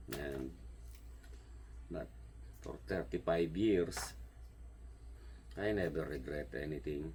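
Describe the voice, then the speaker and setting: A man with a strong Filipino accent, very deep and low, with vocal fry, lively intonation, a very slow pace and long, frequent pauses, plus audible room echo. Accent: heavy Filipino. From Philippines. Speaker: home gardener and vlogger. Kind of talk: casual vlog monologue. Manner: halting, searching for words.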